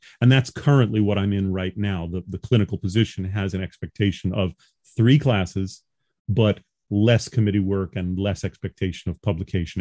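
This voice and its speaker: With a slight New York accent, a man speaks at a moderate pace in a fairly low pitch with ordinary pitch variation. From New York, Long Island. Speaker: professor. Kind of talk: interview.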